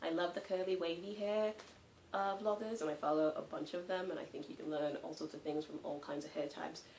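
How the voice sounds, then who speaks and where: A woman's fairly low-pitched voice with an American accent, at a fairly quick pace with ordinary pitch variation, over noticeable background noise. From England. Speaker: vlogger. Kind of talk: casual chat. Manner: hesitant, many fillers.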